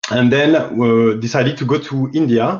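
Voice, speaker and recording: With a French accent, a man speaks at a medium pitch with ordinary pitch variation. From France. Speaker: climate investment fund business development lead. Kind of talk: interview. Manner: halting.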